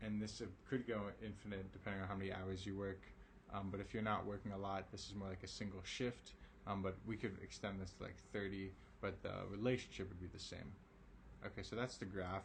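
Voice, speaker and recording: Fairly quick, monotone male speech with flat intonation, fairly low pitch, some breathiness and audible room echo. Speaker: math teacher. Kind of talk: online lesson. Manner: casual, with many fillers.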